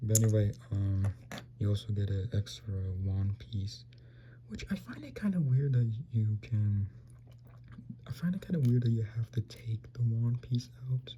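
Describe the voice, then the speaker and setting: Quiet speech at a moderate pace has ordinary pitch variation and long, frequent pauses. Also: man, fairly low pitch for a man. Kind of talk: casual product review talk. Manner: quiet, low volume; hesitant, many fillers.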